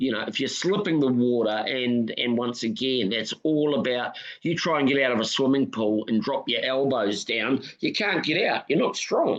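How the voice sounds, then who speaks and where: With a New Zealand accent, the speaker talks at a moderate pace with very even loudness, ordinary pitch variation and hardly any pauses. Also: man, medium pitch for a man. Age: 60s. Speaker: swimming coach and record-holding marathon swimmer. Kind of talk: casual interview chat. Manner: halting, many fillers and repeats.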